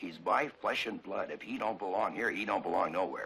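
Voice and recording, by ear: Over audible room echo, a man uses a put-on character voice, low-pitched with vocal fry and a bright, sharp tone, talking at a fairly quick pace with ordinary pitch variation.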